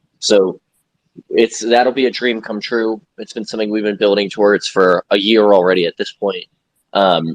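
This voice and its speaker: An unremarkable speaking voice from a man with an American accent, fairly low in pitch, at a moderate pace with fairly even intonation, dry and close with no echo. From New York City. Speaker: game studio co-founder. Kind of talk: interview.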